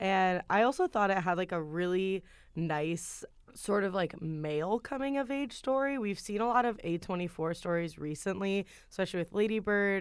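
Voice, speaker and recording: At a moderate pace, a woman talks in a normal speaking voice with medium pitch. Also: very clean recording, silent background. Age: 20s. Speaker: film podcast guest. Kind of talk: casual chat.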